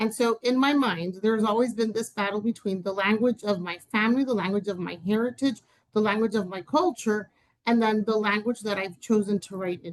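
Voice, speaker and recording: A woman with a fairly high pitch talks at a fairly quick pace with ordinary pitch variation. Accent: Spanish. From Dominican Republic. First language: Spanish. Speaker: writer and educator. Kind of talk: interview conversation. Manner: hesitant, many fillers.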